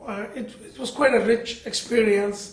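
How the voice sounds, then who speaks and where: Moderately paced speech from a man with fairly even intonation, audible room echo and noticeable background noise. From India, Bangalore. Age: 60s. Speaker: interfaith speaker and community organizer. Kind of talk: interview.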